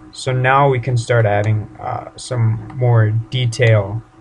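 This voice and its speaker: A man speaks at a medium pitch. Noticeable noise sits in the background. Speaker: 3D modeling tutorial creator. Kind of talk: tutorial. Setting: home bedroom. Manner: casual, informal.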